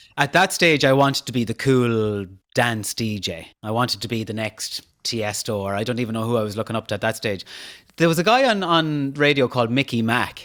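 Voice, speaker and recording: This man talks at a fairly quick pace and medium pitch, with ordinary pitch variation and a western Irish accent. The recording is very clean, the background silent. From Ireland, County Mayo (Castlebar). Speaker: podcast host and social media personality. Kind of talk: interview conversation.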